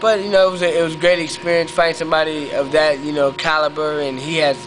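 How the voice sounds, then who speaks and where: A man with an American accent is heard with noticeable background noise and audible room echo. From western Pennsylvania, US. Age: 20s. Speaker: professional boxer. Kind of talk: interview. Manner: halting, many fillers.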